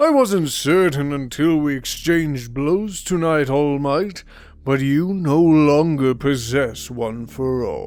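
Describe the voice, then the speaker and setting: Putting on a character voice, a man speaks fairly slowly at a fairly high pitch with ordinary pitch variation. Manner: menacing.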